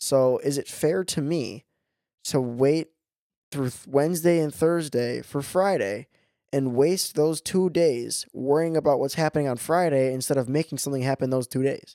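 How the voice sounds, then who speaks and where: A man with an American accent and a normal speaking voice, fairly high in pitch, with ordinary pitch variation and a moderate pace. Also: dry, close sound with no echo. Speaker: podcast co-host. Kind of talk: casual chat. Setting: studio.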